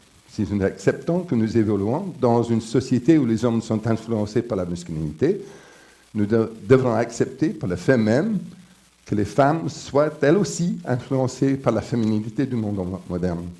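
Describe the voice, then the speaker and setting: With an English accent, the speaker talks at a fairly slow pace, using lively intonation and a dark, mellow tone. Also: man, medium pitch for a man. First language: English (speaking French). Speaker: professor, conference speaker. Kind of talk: conference lecture. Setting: conference with audience. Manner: halting, with repetitions and fillers.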